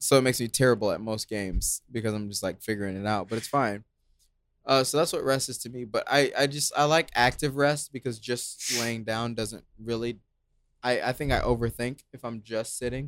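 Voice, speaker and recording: Man at a fairly quick pace and medium pitch on a very clean recording with a silent background. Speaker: podcast co-host. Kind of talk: casual chat. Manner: animated.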